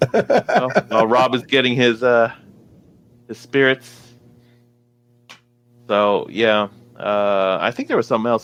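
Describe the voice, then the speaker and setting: Dry and close with no echo, a man with medium pitch speaks at a fairly slow pace, leaving long, frequent pauses. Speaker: podcast host. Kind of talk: casual chat. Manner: monotone.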